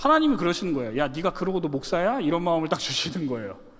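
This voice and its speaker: The tone of this man is animated. Very wide swings run through his pitch. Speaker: pastor. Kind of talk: sermon. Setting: church. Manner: fast.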